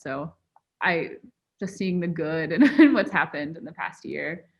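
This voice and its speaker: A woman's unremarkable speaking voice at a fairly low pitch. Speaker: podcast host. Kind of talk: casual podcast conversation.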